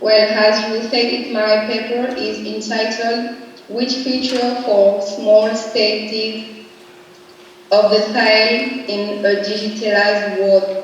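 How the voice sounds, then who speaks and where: A woman with a non-native accent speaks very slowly in a fairly high, flat monotone. Room echo and background noise are both noticeable. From Republic of the Congo. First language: French. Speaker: academic researcher. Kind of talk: conference presentation. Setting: video call. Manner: halting.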